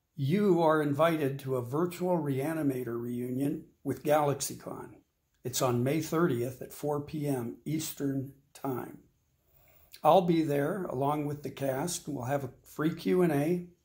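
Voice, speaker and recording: A man speaks at a fairly slow pace, his voice somewhat breathy. His pitch varies in an ordinary way over a quiet background. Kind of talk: promotional announcement. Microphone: phone near.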